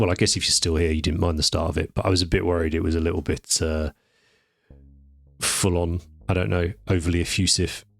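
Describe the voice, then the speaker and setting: A man's very deep, low voice at a very fast pace, fairly even in intonation and somewhat breathy, on a very clean recording with a silent background. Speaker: miniature painting youtuber. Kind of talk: painting tutorial voiceover. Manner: halting, many fillers.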